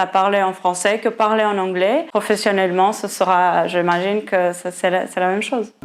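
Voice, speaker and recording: Here a woman speaks in a Portuguese accent. The intonation is fairly even. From Portugal (Porto). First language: Portuguese (speaking French). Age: 20s. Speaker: interviewee, former student. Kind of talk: interview. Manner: halting, with repetitions.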